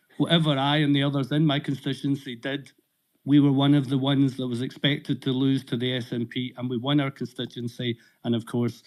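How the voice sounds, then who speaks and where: A Scottish accent at a fairly quick pace, in a monotone, flat intonation. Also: man, medium pitch for a man. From Scotland. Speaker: audience member on political live audio space. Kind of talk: question in live audio discussion. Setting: online audio space.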